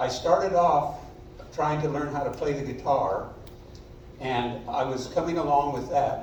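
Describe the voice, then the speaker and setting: With audible room echo and noticeable background noise, a man speaks at a fairly slow pace in a fairly high pitch with ordinary pitch variation. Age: 70s. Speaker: amateur double bass player in community music group. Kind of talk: self-introduction at a concert.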